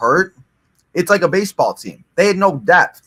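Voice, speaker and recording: A man is speaking. His voice is loud. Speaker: wrestling watch-along co-commentator. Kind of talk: casual chat. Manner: filler-heavy, rambling pace with many 'like's.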